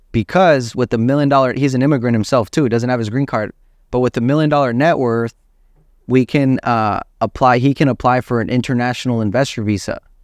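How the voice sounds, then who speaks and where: A man at medium pitch and a fairly quick pace, the sound dry and close with no echo, the background quiet. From Southern California, Inland Empire (Moreno Valley), born in Mexico. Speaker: real estate entrepreneur. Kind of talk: casual podcast interview. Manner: animated.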